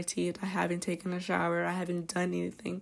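Woman at a moderate pace. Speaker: podcast host. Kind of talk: casual monologue.

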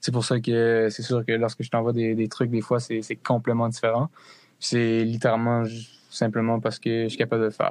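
Speaking at a moderate pace, a man uses a medium pitch and a monotone, flat intonation. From Connecticut, US (French-Canadian family from New Brunswick). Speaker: musician and student. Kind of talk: casual interview.

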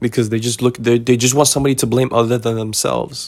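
A man with an American accent, medium in pitch, at a very fast pace with ordinary pitch variation. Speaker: podcast host. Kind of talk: solo monologue about mistakes. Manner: casual, conversational.

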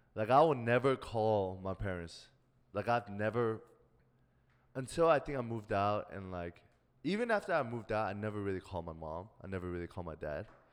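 With a slight Korean accent, a man talks fairly quickly at a fairly low pitch on a very clean recording with a silent background. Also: ordinary pitch variation. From South Korea. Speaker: podcast co-host. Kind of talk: casual chat.

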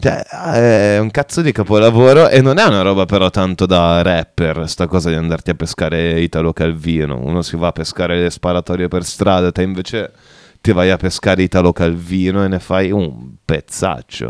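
On a very clean recording with a silent background and a dry, close sound with no echo, a man with a very deep, low pitch speaks in an animated tone. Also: ordinary pitch variation, moderate pace. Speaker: radio host. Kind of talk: casual banter, irreverent radio chat. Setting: radio studio. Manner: animated, swearing, joking.

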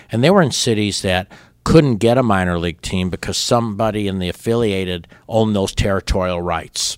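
A man speaks at a fairly quick pace in a plain, everyday voice, fairly low in pitch with ordinary pitch variation, on a very clean recording with a silent background. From Chicago suburbs, Illinois. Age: 60s. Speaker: baseball team co-owner. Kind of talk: interview.

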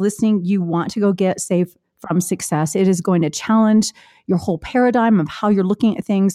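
A woman's dark, mellow voice at medium pitch with fairly even intonation, in a dry, close sound with no echo and a very clean recording with a silent background. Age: 50s. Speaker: podcast host and author. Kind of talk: interview.

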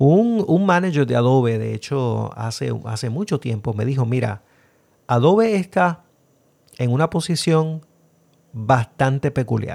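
On a very clean recording with a silent background, a man with a Puerto Rican accent talks with lively intonation. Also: medium pitch for a man, moderate pace. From Puerto Rico. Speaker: podcast host. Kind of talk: casual podcast intro and commentary, code-switching.

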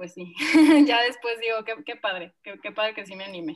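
A woman has a normal speaking voice, fairly high in pitch, with ordinary pitch variation. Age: 20s. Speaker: architect and small business founder. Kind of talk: casual interview chat.

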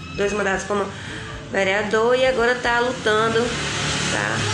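Amid noticeable background noise and audible room echo, a woman speaks at a moderate pace with fairly high pitch and monotone, flat intonation. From Jacobina, Bahia, Brazil. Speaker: teacher. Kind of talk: interview.

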